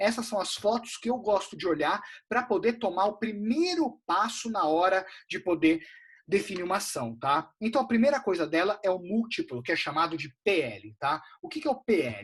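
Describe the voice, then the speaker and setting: Against a quiet background, a man speaks in a high pitch. His voice makes very wide pitch swings. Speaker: investment advisor. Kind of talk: live webinar lecture. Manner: fast; casual, animated.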